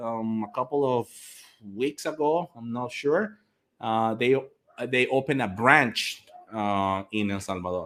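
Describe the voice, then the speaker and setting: A man with a Latin American accent at a fairly slow pace. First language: Spanish. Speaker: English teacher. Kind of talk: live stream chat. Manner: animated.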